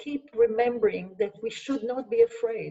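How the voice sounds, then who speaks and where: At a moderate pace, a woman with an Israeli accent speaks with lively intonation. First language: Hebrew. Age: 70s. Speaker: sociologist. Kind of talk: Q&A answers.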